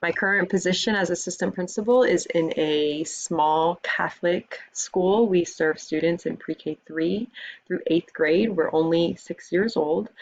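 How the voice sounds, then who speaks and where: An American-accented woman with an ordinary speaking voice talks at a fairly slow pace with hardly any pauses, using a fairly low pitch and ordinary pitch variation. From US South, Miami, Florida. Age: 30s. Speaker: school administrator and teacher. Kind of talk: recorded course introduction video.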